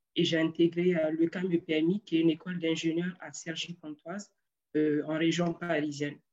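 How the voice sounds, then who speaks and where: A fairly low-pitched woman's voice at a moderate pace, with monotone, flat intonation. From Niger (Arlit). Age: 20s. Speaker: engineer. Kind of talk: interview. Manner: hesitant, many fillers.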